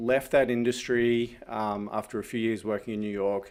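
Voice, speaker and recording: A man speaks at a medium pitch with fairly even intonation. The recording is very clean, with a silent background. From Australia. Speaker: fractional CFO and entrepreneur. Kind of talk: podcast interview.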